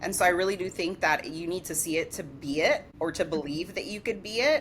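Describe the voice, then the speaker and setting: A woman with an American accent speaks at a moderate pace with lively intonation. Noticeable background noise can be heard. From New York, the Bronx. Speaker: digital branding entrepreneur. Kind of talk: podcast interview.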